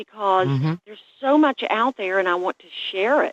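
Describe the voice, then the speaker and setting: A woman's voice with a Southern US accent and very wide pitch swings. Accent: Southern twang and drawl. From West Virginia, raised in the hollers. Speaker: chef and food blogger. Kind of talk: interview answer.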